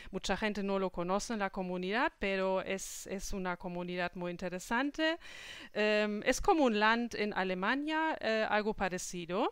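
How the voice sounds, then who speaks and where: A woman speaks at medium pitch with a German accent and lively intonation. Her pace is moderate, and the recording is very clean with a silent background. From Germany. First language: German (speaking Spanish). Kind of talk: interview. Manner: halting.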